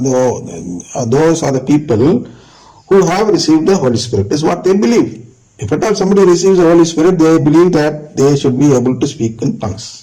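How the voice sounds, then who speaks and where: A man with a high voice swings his pitch very widely, and the room echo is audible. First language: not English. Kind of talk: religious teaching talk.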